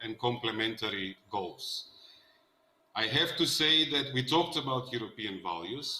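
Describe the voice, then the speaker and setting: This man has a medium-pitched voice with ordinary pitch variation. He speaks at a fairly slow pace. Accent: Macedonian. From North Macedonia. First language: Macedonian. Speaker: politician. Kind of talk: panel discussion.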